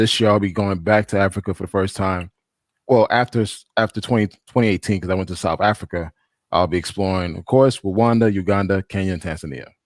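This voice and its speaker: Speaking very fast with a slight Haitian accent, a man's fairly low voice stays fairly even in intonation, recorded very cleanly against a silent background with a dry, close sound and no echo. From Haiti, raised in US from childhood. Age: 40s. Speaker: traveler, panel guest. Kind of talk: casual chat.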